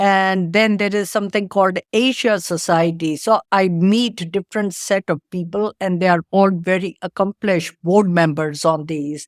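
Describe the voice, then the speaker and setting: In an Indian accent, a woman at medium pitch speaks at a moderate pace with hardly any pauses and fairly even intonation, the recording very clean with a silent background and a dry, close sound with no echo. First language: Indian language, not English. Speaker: tech entrepreneur. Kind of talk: interview.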